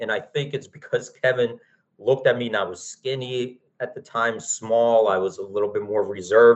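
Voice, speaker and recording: An ordinary speaking voice with an American accent comes at a moderate pace. The pitch shows ordinary variation. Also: man. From Philadelphia, US. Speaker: options trading company cofounder, former floor trader. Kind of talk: interview.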